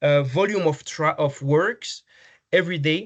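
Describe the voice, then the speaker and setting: Against a quiet background, a man with a French accent speaks at a fairly slow pace, his fairly high pitch showing ordinary variation. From France. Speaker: healthcare technology business development manager. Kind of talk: conference presentation. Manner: halting, many fillers and repetitions.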